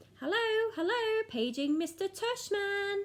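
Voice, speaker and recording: Using a put-on character voice, a woman speaks at a fairly slow pace in an extremely high, raised and projected voice. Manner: sing-song, silly.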